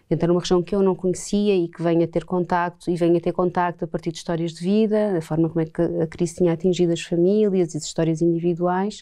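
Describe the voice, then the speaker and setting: Against a quiet background, a woman speaks at a very fast pace with hardly any pauses. Her fairly low voice has a dark, mellow tone and monotone, flat intonation. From Portugal. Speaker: filmmaker. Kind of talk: interview. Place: studio. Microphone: lapel.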